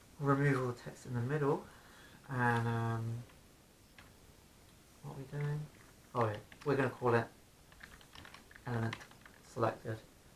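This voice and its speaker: Fairly even intonation with long, frequent pauses against noticeable background noise. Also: man, medium pitch for a man, moderate pace. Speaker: software developer tutorial host. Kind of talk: casual coding tutorial narration.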